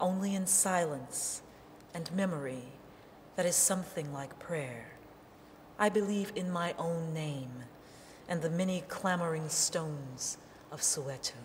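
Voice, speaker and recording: Speaking at a fairly slow pace with long, frequent pauses, a woman with a fairly low pitch shows ordinary pitch variation over noticeable background noise. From New Orleans. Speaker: poet. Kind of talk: poetry reading.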